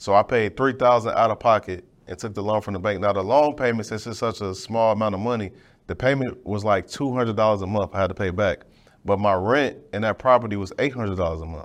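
In a quiet background, a man talks at a very fast pace. His fairly low pitch shows ordinary pitch variation. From Chicago west side. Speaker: podcast host, military veteran. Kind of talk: interview. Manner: casual, relaxed.

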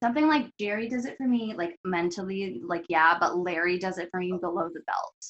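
In a normal speaking voice, the speaker moves at a fairly quick pace with lively intonation and hardly any pauses. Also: woman, medium pitch for a woman. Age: 30s. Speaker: podcast host. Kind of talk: casual chat.

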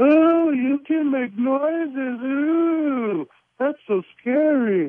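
Very slowly and at a high pitch, a put-on character voice delivers its lines. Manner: mocking, taunting.

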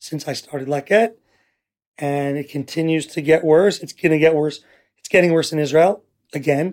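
Speaking at a moderate pace with long, frequent pauses, a man with a New York accent uses a fairly high pitch and fairly even intonation. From New York City. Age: 40s. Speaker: nonprofit founder. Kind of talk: interview.

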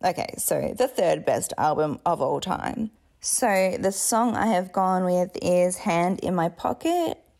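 Someone speaks very slowly with an Australian accent. The recording is very clean, with a silent background. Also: woman. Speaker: podcast host and memoir author. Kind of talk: casual intro monologue.

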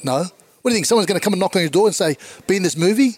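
A man with an Australian accent and ordinary pitch variation, in a dry, close sound with no echo. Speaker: comedian. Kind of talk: casual chat.

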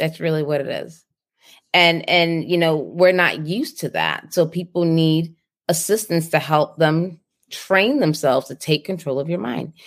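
A woman with a plain, everyday voice speaks at a moderate pace with a fairly low pitch and ordinary pitch variation. The recording is very clean, with a silent background. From Boston, US. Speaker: nurse entrepreneur and speaker. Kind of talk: interview.

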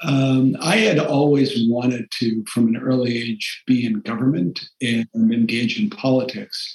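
Hardly pausing at all, a man speaks at a fairly slow pace and medium pitch. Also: ordinary pitch variation. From Massachusetts, Taunton, Portuguese immigrant enclave. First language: Portuguese. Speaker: foundation CEO, former government official. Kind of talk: interview.

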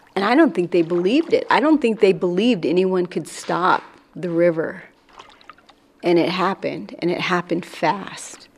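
Against noticeable background noise, a woman with an American accent speaks at a moderate pace and a medium pitch. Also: lively intonation. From Washington, Colville Reservation. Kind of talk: interview. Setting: outdoors.

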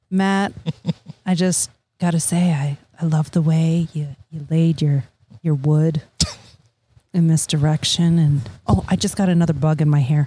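Her pitch very deep and low, a woman speaks fairly slowly and somewhat breathily with fairly even intonation and long, frequent pauses. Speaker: podcast co-host. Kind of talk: casual chat. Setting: outdoors on a deck.

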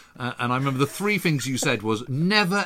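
Recorded very cleanly against a silent background, a man talks at a fairly quick pace in a bright, sharp tone with very wide pitch swings. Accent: English. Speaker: historian, podcast co-host. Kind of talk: casual chat.

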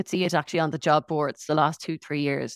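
On a very clean recording with a silent background, a woman with an Irish accent speaks at a very deep, low pitch, the sound dry and close with no echo. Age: 40s. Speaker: internal communications director. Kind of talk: interview.

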